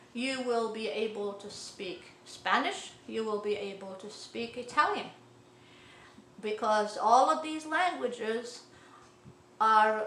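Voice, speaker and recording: A woman's fairly high voice at a very slow pace, with big swings in loudness, audible room echo and noticeable background noise. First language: Arabic (also French). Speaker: language teacher. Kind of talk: tutorial. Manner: halting, many fillers.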